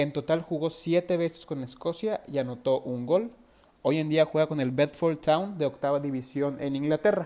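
This man talks at a fairly quick pace in a fairly high voice, with a dark, mellow tone and ordinary pitch variation. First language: Spanish. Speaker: football podcast host. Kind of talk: interview. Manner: halting.

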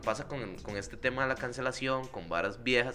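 With a Costa Rican accent, a man speaks at a very fast pace in a bright, sharp tone with ordinary pitch variation. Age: 20s. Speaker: comedy podcast co-host. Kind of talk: casual chat.

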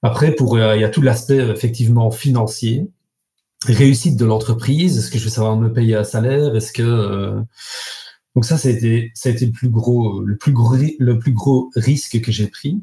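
This man has an ordinary speaking voice at medium pitch. His intonation is fairly even and his pace is moderate. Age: 40s. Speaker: carpenter and business owner. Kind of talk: interview.

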